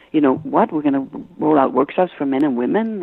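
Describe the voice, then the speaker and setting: A woman with a very deep, low pitch talks at a fairly quick pace, her pitch varying in an ordinary way. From Denmark, Copenhagen. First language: Danish. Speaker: business consultant and author. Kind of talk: interview. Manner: halting, many fillers.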